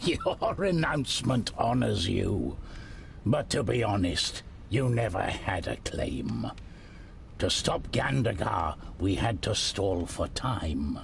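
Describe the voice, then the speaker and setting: Using a put-on character voice, a man talks at a fairly low pitch and fairly slow pace over clear background noise. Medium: read story. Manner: measured, weary, shrewd.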